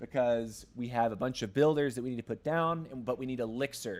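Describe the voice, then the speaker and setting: This man speaks at a fairly quick pace with an American accent. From US South, Atlanta. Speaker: gaming streamer. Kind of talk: live gaming stream chat. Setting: livestream. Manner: halting, frequent word repetitions.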